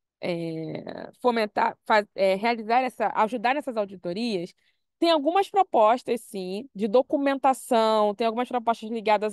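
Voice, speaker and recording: A woman with a fairly high pitch speaks at a fairly slow pace with ordinary pitch variation. The sound is dry with no echo, and the background is quiet. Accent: Brazilian. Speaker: computer scientist; panelist. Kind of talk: presentation. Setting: video call. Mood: engaged, smiling at times. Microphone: video call.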